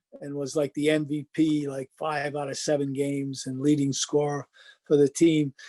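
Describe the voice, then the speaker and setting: A man with a Rhode Island accent speaks fairly slowly in a dark, mellow tone, the sound dry and close with no echo. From Rhode Island, North Providence. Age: 70s. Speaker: former basketball player. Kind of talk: interview.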